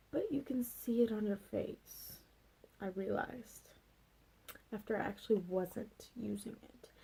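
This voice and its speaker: Soft-spoken and at a fairly slow pace, a woman leaves long, frequent pauses. Her loudness swings widely. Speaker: beauty vlogger. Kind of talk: casual vlog chat. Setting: at home late at night. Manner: soft-spoken, talking quietly.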